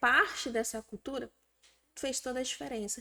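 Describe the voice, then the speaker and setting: The speaker is a woman. Her pitch rises and falls in a lively way. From another Brazilian state, not Maranhão. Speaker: business founder. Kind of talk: interview.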